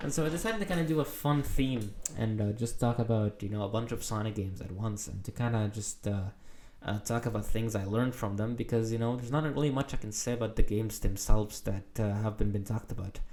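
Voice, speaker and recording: The tone is dark and mellow, with ordinary pitch variation. Delivery is very fast. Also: man, medium pitch for a man. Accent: non-native. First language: not English. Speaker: gaming video essayist. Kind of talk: casual monologue. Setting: recording at home late at night. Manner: hesitant, many filler words.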